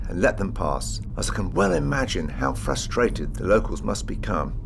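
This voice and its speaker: There is audible room echo and noticeable background noise. A man with an English accent speaks at a moderate pace. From England. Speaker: travel vlogger. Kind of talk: travel guide narration. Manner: casual, chatty.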